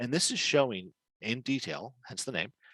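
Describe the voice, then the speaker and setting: A man is heard in a dry, close sound with no echo against a quiet background. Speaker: webinar presenter on building permits. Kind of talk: webinar presentation. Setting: online webinar. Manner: fast.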